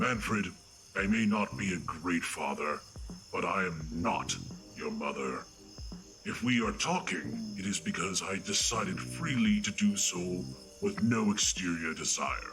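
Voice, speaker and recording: Put-on character voice from a man, fairly slow with long, frequent pauses over clear background noise. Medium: audio drama. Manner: blunt, deadpan, emotionally detached.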